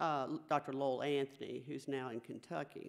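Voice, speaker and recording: A woman speaks at a moderate pace with a strong Southern US accent and a very deep, low pitch. The background is quiet. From US South. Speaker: oncology dietitian; presenter. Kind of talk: conference presentation. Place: hall. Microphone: podium.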